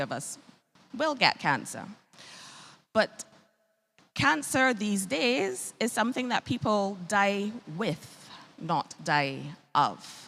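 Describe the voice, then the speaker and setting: With a Bajan accent, a woman speaks at a medium pitch in a bright, sharp tone. Her pace is very slow, and her pitch swings very widely. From Barbados. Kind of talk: health talk.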